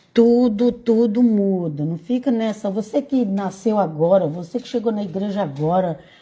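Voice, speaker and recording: Speaking at a moderate pace, a woman uses a medium pitch and a dark, mellow, somewhat breathy tone, with ordinary pitch variation and big swings in loudness. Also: hardly any pauses. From Brazil, Bahia. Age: 60s. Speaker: evangelical preacher. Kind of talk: casual informal sermon. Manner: halting.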